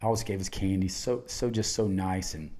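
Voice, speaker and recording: A man's very deep, low voice in a Southern US accent, dark and mellow in tone, with monotone, flat intonation. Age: 60s. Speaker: podcast host, cancer patient. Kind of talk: casual chat. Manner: halting.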